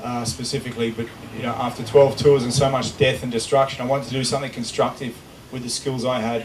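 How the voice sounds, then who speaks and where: A man with a medium-pitched voice speaks at a very fast pace in a monotone, flat delivery, with noticeable background noise. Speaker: conservationist, former special operations soldier. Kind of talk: public talk. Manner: loud. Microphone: unreliable microphone cutting out.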